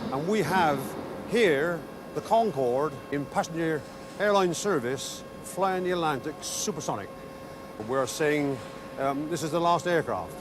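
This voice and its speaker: Noticeable background noise sits behind a man with a fairly high voice. He speaks fairly slowly with ordinary pitch variation and long, frequent pauses. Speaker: assembly manager. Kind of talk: interview answer.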